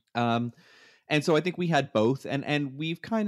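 An unremarkable speaking voice: a man with a Canadian accent, fairly high in pitch, at a moderate pace with ordinary pitch variation. The recording is very clean with a silent background, and the sound is dry and close with no echo. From Canada. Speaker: podcast co-host, veterinarian, new father. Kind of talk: casual chat.

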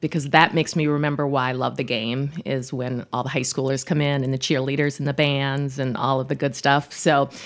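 Fairly quick delivery with an American accent. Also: woman. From Minnesota, South Minneapolis. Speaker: sports broadcaster. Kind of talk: casual chat.

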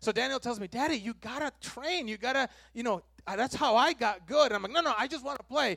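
A man speaks in a raised, projected voice at an extremely high pitch, with a bright, sharp tone and ordinary pitch variation. His pace is very fast, and the sound is dry and close with no echo. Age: 40s. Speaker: pastor. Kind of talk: sermon.

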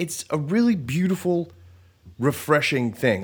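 On a very clean recording with a silent background, a man speaks at a fairly high pitch in an animated, somewhat breathy tone. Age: 30s. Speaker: podcast host and musician. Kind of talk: casual solo monologue.

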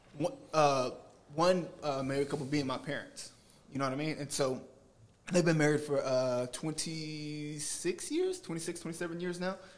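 A man with a fairly high pitch speaks at a fairly slow pace with fairly even intonation, and noticeable background noise is audible. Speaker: audience member. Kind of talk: casual chat. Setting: studio.

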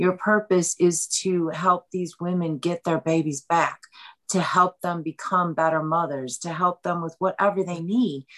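A woman with an unremarkable speaking voice talks at a fairly low pitch and a fairly slow pace, in a dry, close sound with no echo. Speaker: author. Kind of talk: interview about a book.

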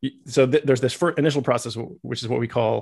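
Over a quiet background, someone with an American accent speaks very fast with vocal fry and fairly even intonation. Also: man. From US, Massachusetts and Iowa. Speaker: biochemistry professor. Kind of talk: interview. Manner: halting.

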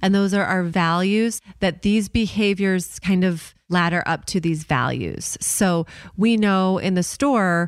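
A woman with an American accent and an ordinary speaking voice, fairly low in pitch, with fairly even intonation, in a very clean recording over a silent background. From Chicago suburbs, US Midwest. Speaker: retail entrepreneur, co-founder. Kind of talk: casual interview.

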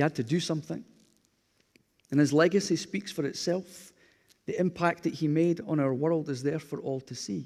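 Speaking with a Glasgow accent, a man with a fairly high pitch and ordinary pitch variation moves at a moderate pace, leaving long, frequent pauses. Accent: Scottish (Glasgow area). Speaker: pastor. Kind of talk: sermon. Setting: church.

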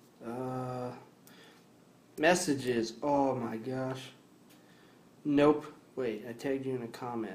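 Amid audible room echo, a man of medium pitch speaks at a very slow pace with long, frequent pauses and fairly even intonation. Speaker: podcast co-host. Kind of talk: casual chat.

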